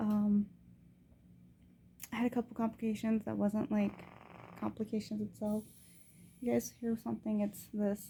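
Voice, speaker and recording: A soft-spoken woman with a fairly high pitch talks at a moderate pace in a monotone, flat intonation. Long, frequent pauses break up her speech. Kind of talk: casual video diary. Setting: hospital.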